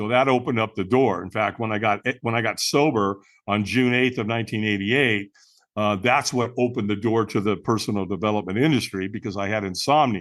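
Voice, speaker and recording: The background is quiet as a man speaks at a fairly low pitch. He has a plain, everyday voice with ordinary pitch variation. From US West Coast, Long Beach, California. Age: 60s. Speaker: personal development speaker. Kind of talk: interview storytelling.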